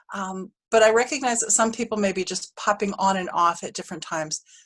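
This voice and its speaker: A woman speaks in a plain, everyday voice, at a medium pitch with ordinary pitch variation. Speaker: university professor running a stats workshop. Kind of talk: online workshop lecture. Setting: video call.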